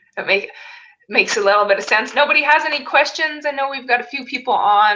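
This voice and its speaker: A woman's high-pitched, raised and projected voice, very fast, with an animated tone and lively intonation. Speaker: network marketing trainer. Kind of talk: live webinar tutorial.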